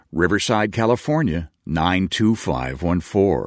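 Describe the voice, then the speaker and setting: In a very clean, dry, close recording with no echo and a silent background, a man speaks very slowly at a very deep, low pitch with vocal fry. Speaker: radio announcer. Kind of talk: scripted narration. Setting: studio.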